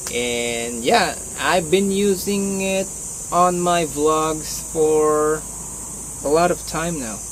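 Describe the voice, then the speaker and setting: A man with a Filipino accent speaks very slowly in a fairly high pitch with ordinary pitch variation. Noticeable background noise and audible room echo are present. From Philippines. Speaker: martial arts vlogger. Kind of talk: casual vlog talk. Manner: halting.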